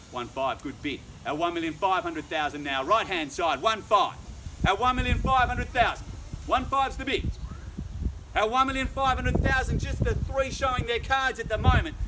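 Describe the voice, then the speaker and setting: An energetic voice with very wide pitch swings over noticeable background noise. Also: man, high pitch for a man. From Australia. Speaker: auctioneer. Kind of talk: live auction bidding call. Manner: fast, energetic. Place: garden. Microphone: camera far.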